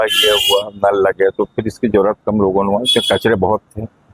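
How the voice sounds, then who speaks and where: Flat, monotone intonation from a man with a fairly low pitch, in a dry, close sound with no echo. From Durg, Chhattisgarh. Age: 70s. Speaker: elderly local resident. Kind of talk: news interview.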